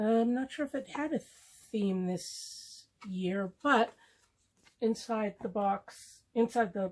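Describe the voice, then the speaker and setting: A woman's somewhat breathy voice carries ordinary pitch variation. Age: 60s. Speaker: beauty product youtuber. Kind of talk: unboxing video. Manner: hesitant, with fillers.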